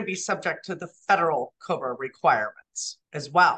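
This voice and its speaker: The speaker has an American accent and a bright, sharp tone. Delivery is fairly slow, with very wide pitch swings. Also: woman. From Southern California. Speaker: benefits administration business owner. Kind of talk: interview.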